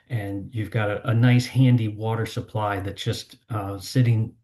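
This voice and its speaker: A man's fairly low, somewhat breathy voice at a moderate pace, monotone and flat in intonation, over a quiet background. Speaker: water-supply engineer presenting. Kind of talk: seminar presentation. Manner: hesitant, with fillers and repetitions.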